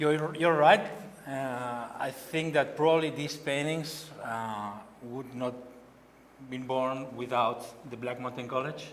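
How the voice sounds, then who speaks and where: A man with a Catalan accent speaks very slowly at medium pitch with fairly even intonation and long, frequent pauses, amid noticeable background noise and audible room echo. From Spain, Barcelona. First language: Spanish or Catalan. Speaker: painter. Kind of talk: artist talk. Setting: gallery event with audience. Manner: halting.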